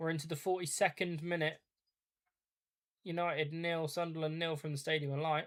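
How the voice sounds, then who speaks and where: A man with an English accent speaks at a fairly quick pace in a fairly high, monotone and flat voice, with long, frequent pauses. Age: 30s. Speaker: football watch-along streamer. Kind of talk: live commentary. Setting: live stream.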